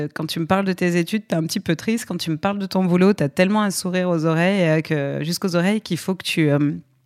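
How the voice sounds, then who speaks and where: On a very clean recording with a silent background, a woman with a normal speaking voice talks at a fairly quick pace, fairly low in pitch with ordinary pitch variation. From Aix-en-Provence, southern France. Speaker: comedy production company head. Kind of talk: podcast interview.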